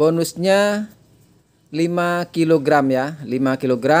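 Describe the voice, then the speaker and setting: Speaking at a very slow pace, the man has a high pitch that varies in an ordinary way. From East Java, Indonesia. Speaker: online orchid seller. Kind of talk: sales pitch. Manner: brisk, rattling off prices and sizes; chatty, repeating "ya" to hold buyers' attention. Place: garden. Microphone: phone near.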